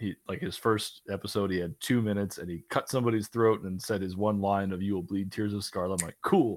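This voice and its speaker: With an ordinary speaking voice, a man talks fairly quickly at a fairly low pitch and with fairly even intonation. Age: 30s. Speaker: carpenter and podcast guest. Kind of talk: casual chat.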